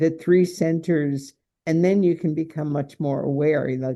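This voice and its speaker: A woman with an American accent, her pitch very deep and low, at a fairly slow pace. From New York, US (Italian family). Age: 80s+. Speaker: somatic healer and speaker. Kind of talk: interview conversation.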